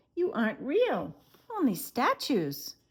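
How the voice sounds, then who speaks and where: In a put-on character voice, a woman speaks fairly slowly in a high, squeaky pitch. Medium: read story.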